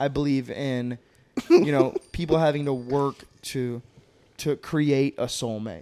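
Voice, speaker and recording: With a normal speaking voice, a man talks at a fairly high pitch for a man using fairly even intonation. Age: 20s. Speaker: podcast co-host. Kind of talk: casual chat. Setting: studio.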